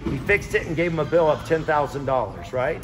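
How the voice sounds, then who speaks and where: Over music in the background, a man's pitch varies in an ordinary way as he speaks at a moderate pace. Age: 50s. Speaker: wrestling coach. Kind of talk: advice talk to young wrestlers.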